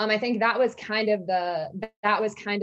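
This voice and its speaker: Fairly high in pitch, a woman with an American accent and an unremarkable speaking voice talks at a fairly slow pace with ordinary pitch variation. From Georgia, US South (about an hour south of Atlanta). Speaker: sports journalist. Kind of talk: casual interview chat.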